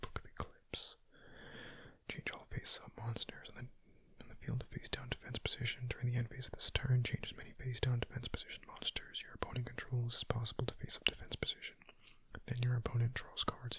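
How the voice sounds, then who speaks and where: Someone whispers. The pace is fairly quick. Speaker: gaming ASMR creator. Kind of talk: whispered gameplay commentary. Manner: whispering; casual.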